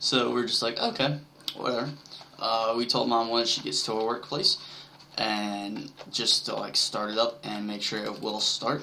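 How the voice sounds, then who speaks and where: Noticeable background noise sits under speech delivered at a moderate speed. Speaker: gaming video creator. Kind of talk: casual gameplay commentary. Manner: hesitant, many fillers.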